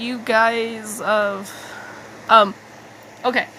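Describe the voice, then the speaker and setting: A woman speaks with a fairly high pitch. There is noticeable background noise. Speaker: digital artist. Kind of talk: casual talk to camera. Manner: hesitant, halting.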